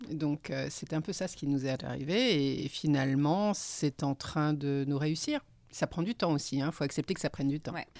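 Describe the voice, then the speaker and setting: Her pitch very deep and low, a woman speaks at a moderate pace with ordinary pitch variation and hardly any pauses. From Paris, France. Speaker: returned expatriate. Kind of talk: casual chat.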